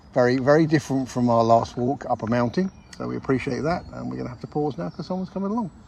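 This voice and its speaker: Noticeable background noise behind a man speaking fairly quickly. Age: 60s. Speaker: podcast co-host. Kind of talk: casual chat. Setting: outdoors.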